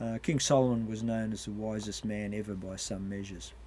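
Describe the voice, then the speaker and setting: A man with an Australian accent speaks at a moderate pace in a fairly low pitch, his tone dark and mellow. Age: 70s. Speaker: retired paramedic. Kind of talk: informal health talk.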